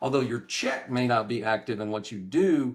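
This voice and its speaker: A man speaks at a medium pitch with an East Texas accent. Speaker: real estate professor. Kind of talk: interview.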